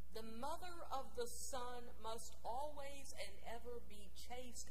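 A woman at a very slow pace, with light background noise. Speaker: preacher. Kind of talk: sermon in first-person character voice. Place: church.

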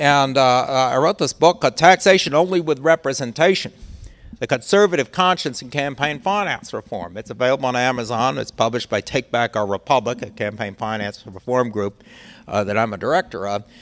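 An unremarkable speaking voice with an American accent, lively intonation, and a fairly quick pace. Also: man, medium pitch for a man. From US Midwest. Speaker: law professor and former government ethics lawyer. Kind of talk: public lecture. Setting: library talk with live audience. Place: hall. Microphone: handheld.

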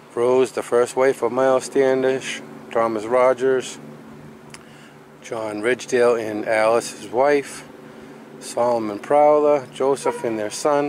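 A man at a fairly slow pace, with fairly even intonation, long, frequent pauses, light background noise and a dry sound with no echo. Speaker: travel vlogger. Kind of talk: casual vlog chat. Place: street. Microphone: phone near.

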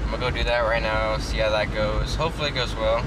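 Loud background noise accompanies a man speaking. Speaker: fitness vlogger. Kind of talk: casual vlog chat. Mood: content, smiling. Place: car. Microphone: phone near.

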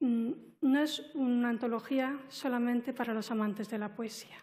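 Speaking at a fairly slow pace, a woman has a high pitch, a dark, mellow tone and fairly even intonation. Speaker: literature professor and poet; literature professor, poet. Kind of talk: academic commentary; panel talk on a book. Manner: formal, articulate. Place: hall. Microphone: headset.

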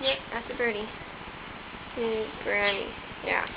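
Noticeable background noise sits behind a voice moving at a fairly slow pace. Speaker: horse barn volunteer. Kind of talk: casual talk to camera. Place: farm machine. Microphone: phone near.

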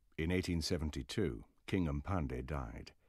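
Music plays behind a man whose very deep, low voice carries a dramatic tone. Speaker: documentary narrator. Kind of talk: scripted documentary narration. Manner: formal, measured, dramatic.

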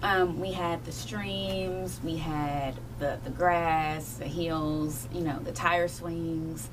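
A woman speaks at a very slow pace. Noticeable background noise runs under her voice. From Kentucky, Appalachian Mountains. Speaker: children's book author. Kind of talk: radio interview. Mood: warm, enthusiastic. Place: studio.

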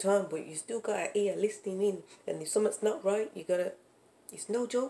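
Speaking at a fairly quick pace in a Brummie accent, a woman has a medium pitch, a dark, mellow tone and ordinary pitch variation. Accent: Brummie (Birmingham) English. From Birmingham, England. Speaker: vlogger, parent and small business owner; parent vlogger. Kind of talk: casual vlog chat. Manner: animated, laughing. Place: home room. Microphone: phone near.

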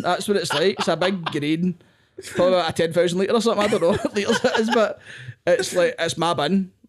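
A man with a Glaswegian accent speaks at a very fast pace in a high pitch, with ordinary pitch variation and a quiet background. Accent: Glaswegian Scottish. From Scotland, Glasgow area. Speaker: comedian. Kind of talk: casual chat. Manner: animated. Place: home room. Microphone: studio mic.

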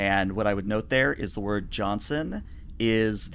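This is a natural reading voice. The words are simply read aloud.

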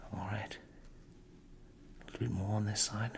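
Over light background noise, a soft-spoken man talks at a moderate pace with fairly even intonation. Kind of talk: soft-spoken roleplay narration. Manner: soft-spoken ASMR doctor voice. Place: home room. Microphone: studio mic.

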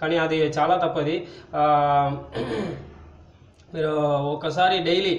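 A man with a fairly high pitch speaks in a room with audible echo. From Tamil Nadu, India. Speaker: channel host. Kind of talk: casual talk to camera. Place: home room. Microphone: phone near.

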